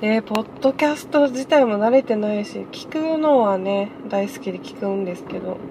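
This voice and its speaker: Over noticeable background noise, a woman with a fairly high pitch talks at a moderate pace with ordinary pitch variation and big swings in loudness. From Okinawa. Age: 30s. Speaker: podcaster. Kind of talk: casual solo monologue. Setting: in a car.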